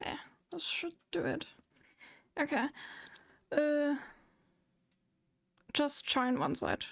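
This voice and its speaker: A woman with a German accent speaks at a high pitch and a very slow pace, with long, frequent pauses. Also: ordinary pitch variation. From Germany. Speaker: VTuber streamer. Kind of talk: casual chat. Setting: live stream with Discord voice chat.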